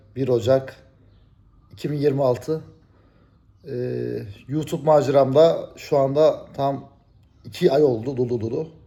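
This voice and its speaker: A man's somewhat breathy, medium-pitched voice with a dark, mellow tone, at a very slow pace. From Turkey. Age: 40s. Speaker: YouTuber. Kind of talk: casual vlog monologue.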